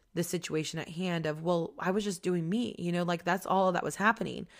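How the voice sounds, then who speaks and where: Speaking at a fairly quick pace, a woman sounds animated, her pitch fairly low. The recording is very clean, the background silent. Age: 20s. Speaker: podcast host. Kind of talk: casual solo monologue. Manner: animated, frequent laughter.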